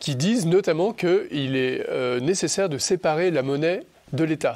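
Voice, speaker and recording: A man's high-pitched voice at a fairly slow pace. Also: ordinary pitch variation. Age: 40s. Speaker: senior civil servant and Bitcoin commentator. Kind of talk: interview. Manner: hesitant, many fillers.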